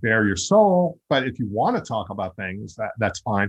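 A normal speaking voice from a man, medium in pitch and moderate in pace, with a dry, close sound and no echo. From US Northeast (Long Island, New York). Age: 50s. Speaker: podcast host and actor. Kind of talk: interview.

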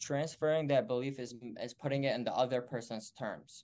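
Here is a man with a plain, everyday voice. He keeps a moderate pace and fairly even intonation. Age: 20s. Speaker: insurance agency owner. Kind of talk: interview.

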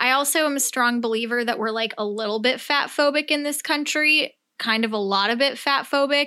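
With an American accent, a woman projects a raised, bright, sharp, high-pitched voice at a fairly quick pace with ordinary pitch variation. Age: 20s. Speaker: podcast host and blogger. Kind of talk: casual solo rant. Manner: unscripted, rambling.

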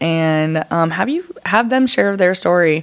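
A woman with an American accent talks at a fairly slow pace with lively intonation in a normal speaking voice. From Washington State, US (Arlington, north of Seattle). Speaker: wellness podcast host. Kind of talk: solo casual podcast monologue. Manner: casual, filler-heavy.

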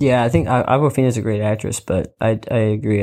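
This man has an unremarkable speaking voice, fairly low in pitch, talking at a moderate pace on a very clean recording with a silent background. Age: 20s. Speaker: podcast co-host. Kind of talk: casual chat. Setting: sitting on the floor in blankets.

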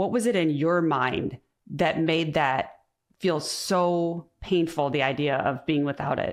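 A woman with a normal speaking voice speaks at a fairly low pitch and a fairly slow pace. Her loudness is very even on a very clean recording with a silent background. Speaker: podcast host. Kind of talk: interview.

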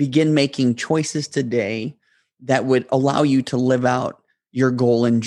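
A man speaks at a medium pitch with fairly even intonation. He has an ordinary speaking voice. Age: 30s. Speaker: podcast host. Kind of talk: motivational monologue.

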